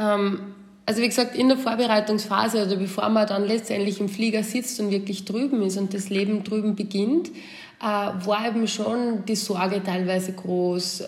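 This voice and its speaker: A woman with an Austrian accent, with audible room echo. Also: medium pitch for a woman, fairly even intonation, moderate pace. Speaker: returned expat. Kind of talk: casual chat. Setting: remote call.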